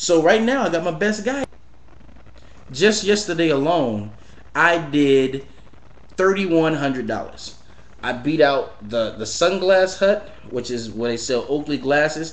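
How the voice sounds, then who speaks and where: In a room with audible echo, a man with a fairly high pitch talks with very wide pitch swings and long, frequent pauses. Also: fairly slow pace. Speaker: entrepreneur and business coach. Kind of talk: casual vlog monologue.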